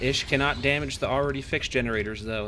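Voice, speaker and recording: Over music in the background, the speaker talks at a very fast pace with lively intonation. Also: man. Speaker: gaming youtuber. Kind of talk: mock esports commentary. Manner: animated.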